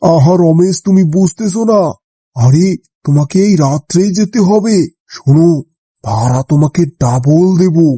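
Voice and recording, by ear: A man puts on a cartoonish character voice, pitched high, with ordinary pitch variation and very even loudness at a fairly slow pace. The sound is dry and close, with no echo.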